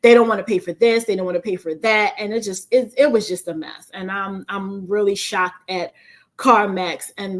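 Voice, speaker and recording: Delivered at a moderate pace, an unremarkable speaking voice shows ordinary pitch variation. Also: woman. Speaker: finance YouTuber and nurse. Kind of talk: casual planning walkthrough.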